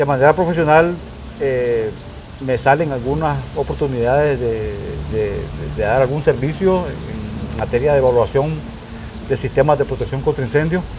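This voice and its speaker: Moderate pace and ordinary pitch variation from a man, with noticeable background noise behind him. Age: 60s. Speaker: retired firefighter commander, fire protection specialist. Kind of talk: interview. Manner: halting, many repetitions.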